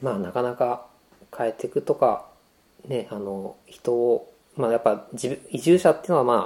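A man speaks at a moderate pace and medium pitch, with ordinary pitch variation, in an unremarkable speaking voice. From Saitama, Tokorozawa; partly abroad as child. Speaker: web designer and programmer. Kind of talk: casual chat.

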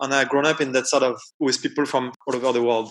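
Very fast and flat, a man speaks in a monotone at a fairly high pitch. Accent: French. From France, Paris suburbs. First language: French. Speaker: computational designer. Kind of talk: interview.

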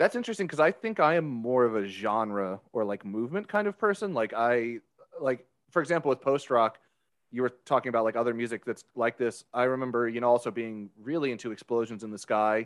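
With an unremarkable speaking voice, a man talks at a fairly quick pace and a medium pitch, with ordinary pitch variation. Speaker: podcast host. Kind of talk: casual banter podcast chat.

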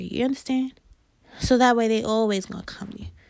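A woman with a New York accent at a moderate pace, on a very clean recording with a silent background. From Queens, New York. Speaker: podcast host, business and marketing advisor. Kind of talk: solo podcast talk about business and marketing. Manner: casual, conversational.

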